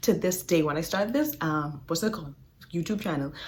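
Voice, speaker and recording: Somewhat breathy, a woman swings her pitch very widely. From Bahamas. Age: 20s. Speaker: podcast host. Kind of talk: casual talk to camera. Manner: upbeat, warm.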